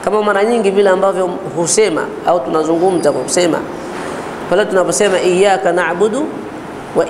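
A man talks in a high pitch at a fairly quick pace. His pitch varies in an ordinary way, with light background noise. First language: Swahili (speaking Arabic). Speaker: Islamic teacher. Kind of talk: religious lecture. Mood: calm, explanatory. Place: home room. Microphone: lapel.

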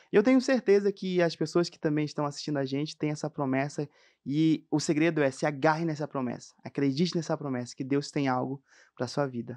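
Against a quiet background, a man with a fairly high pitch talks at a fairly quick pace, his loudness swinging widely. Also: ordinary pitch variation. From Amazonas, Brazil. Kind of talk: testimony. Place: studio. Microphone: studio mic.

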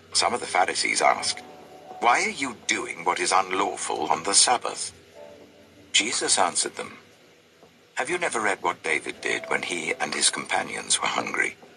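Moderate pace from a man, long, frequent pauses, and noticeable background noise. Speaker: scripture reader. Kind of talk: reading aloud of scripture.

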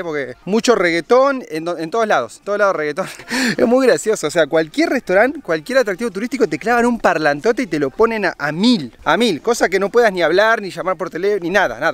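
An upbeat, enthusiastic man at a high pitch, very fast pace and lively intonation, with a dry sound and no echo. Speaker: travel vlogger. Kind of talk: casual travel vlog talk to camera. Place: open country. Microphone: phone near.

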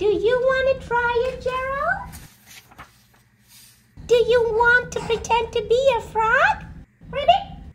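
In a put-on character voice, a female-sounding speaker with an extremely high pitch talks at a fairly slow pace, with long, frequent pauses. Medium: read story. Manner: cheerful, patient.

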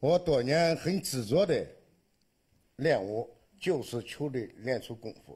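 A man speaks very slowly in a dark, mellow, somewhat breathy tone at a fairly high pitch. His delivery has long, frequent pauses and big swings in loudness. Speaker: tai chi student. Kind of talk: testimony.

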